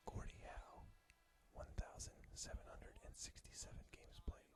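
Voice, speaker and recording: A man whispers at a fairly slow pace, with big swings in loudness. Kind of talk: ASMR whispered fact reading. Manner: whispered, soft-spoken.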